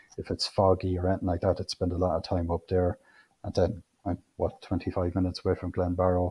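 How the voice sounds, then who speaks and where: A man's very deep, low voice, somewhat breathy, monotone and flat, at a very fast pace. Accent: Irish Midlands. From Irish midlands, Co. Offaly. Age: 40s. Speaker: amateur photographer. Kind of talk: interview conversation.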